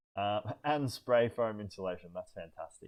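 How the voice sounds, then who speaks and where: In an Australian accent, a man speaks in a calm tone at a fairly low pitch with ordinary pitch variation. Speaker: van build youtuber. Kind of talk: live stream Q&A. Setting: live stream. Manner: hesitant, many fillers.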